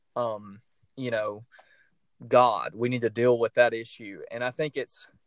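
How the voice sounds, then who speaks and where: A man speaks at a medium pitch in a Southern US accent. The sound is dry and close, with no echo. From US South. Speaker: podcast host. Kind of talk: casual chat.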